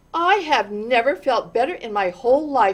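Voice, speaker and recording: A woman does a put-on character voice at a high pitch, with very wide pitch swings and a moderate pace. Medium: read story. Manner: cheerful, hearty.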